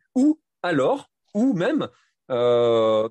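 This man's voice has a dark, mellow tone, recorded with a dry, close sound and no echo. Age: 40s. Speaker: running coach and sports shop manager. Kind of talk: interview. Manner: halting.

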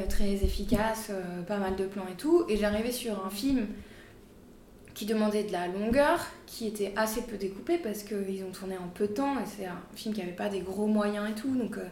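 A woman with a fairly high pitch speaks at a fairly slow pace. Her ordinary pitch variation carries through audible room echo. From France, Corrèze (Brive-la-Gaillarde). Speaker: film editor. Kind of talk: casual chat. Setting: editing room.

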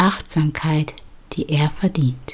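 A woman with a fairly low pitch speaks at a very slow pace, her pitch varying in an ordinary way. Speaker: podcast host, bedtime story and meditation narrator. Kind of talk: guided meditation. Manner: slow, soft-spoken, soothing; calm, measured pacing with pauses.

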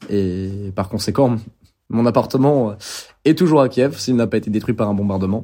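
Over a silent background in a very clean recording, a man with a dark, mellow tone and fairly low pitch speaks at a moderate pace with ordinary pitch variation. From France, Bordeaux. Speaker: war correspondent. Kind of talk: interview. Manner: halting.

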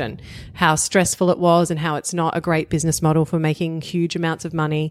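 A woman's fairly low voice in a strong Australian accent at a very fast pace, on a very clean recording with a silent background. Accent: broad Australian. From Australia, outer eastern suburbs of Melbourne. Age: 40s. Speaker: author and podcast guest. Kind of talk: casual chat.

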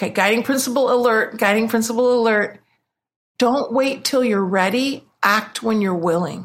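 With a normal speaking voice, a woman talks at a moderate pace and fairly high pitch, keeping her loudness very even. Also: ordinary pitch variation. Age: 50s. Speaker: business coach. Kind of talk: interview.

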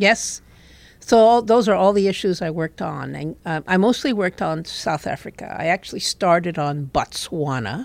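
Vocal fry colors a woman's fairly low voice. She speaks at a moderate pace with lively intonation. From Puerto Rico. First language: Spanish. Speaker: former intelligence officer. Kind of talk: interview.

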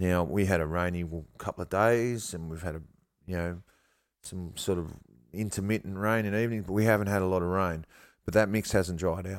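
On a very clean recording with a silent background, a man with an Australian accent and a very deep, low pitch talks at a fairly quick pace with fairly even intonation and long, frequent pauses. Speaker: bonsai grower and teacher. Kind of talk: casual interview.

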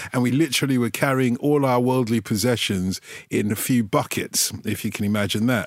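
A man with a London accent speaks fairly quickly at a medium pitch, with ordinary pitch variation and very even loudness, on a very clean recording with a silent background. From London, England (Tottenham, North London; also South London). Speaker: football radio presenter. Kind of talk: casual interview chat.

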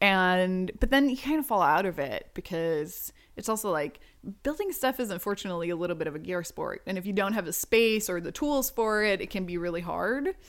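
Her speech, an ordinary speaking voice at medium pitch, comes from a woman who talks at a fairly quick pace with lively intonation. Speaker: inventor and YouTuber. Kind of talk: casual interview chat. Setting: recording in hosts' home.

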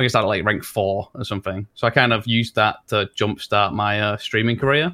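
A man speaks in a strong Leeds accent, his pitch fairly low. Pitch variation is ordinary, and the recording is very clean with a silent background. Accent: strong Leeds accent, drops letters. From northern England, Leeds. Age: 20s. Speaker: streamer. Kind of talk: casual chat.

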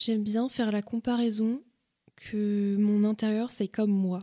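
Her voice is fairly high yet dark and mellow in tone, with monotone, flat intonation and a dry, close sound with no echo. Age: 20s. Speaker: podcast host, interior design worker. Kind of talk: casual solo talk with advice.

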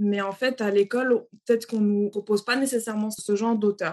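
A woman uses a normal speaking voice at a fairly high pitch, moving at a moderate pace with ordinary pitch variation. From Senegal, Dakar. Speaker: children's author. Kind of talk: interview.

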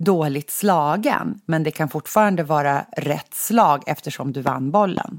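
The recording is very clean, with a silent background. A woman with a very deep, low pitch and ordinary pitch variation speaks at a very slow pace. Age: 40s. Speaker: podcast host. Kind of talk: casual chat.

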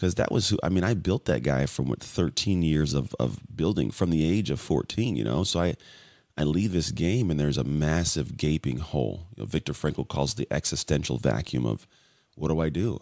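At a moderate pace, the speaker uses lively intonation and vocal fry with very even loudness on a very clean recording with a silent background. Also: man, very deep, low pitch for a man. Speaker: former athlete, podcast guest. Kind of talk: interview.

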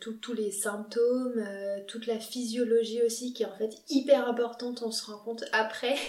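Delivery is fairly slow, monotone and flat, with big swings in loudness. Noticeable background noise runs underneath. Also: woman. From France, Lyon. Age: 20s. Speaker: medical resident. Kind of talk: interview.

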